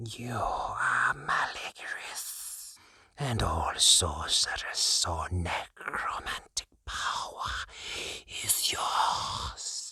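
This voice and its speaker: A man whispers in a put-on character voice, with a hissing sound. His pace is very slow. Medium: read story. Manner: deferential.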